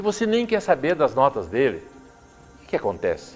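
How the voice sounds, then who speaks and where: Lively intonation over music in the background. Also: man. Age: 70s. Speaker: senate pre-candidate, businessman. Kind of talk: political interview. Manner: animated.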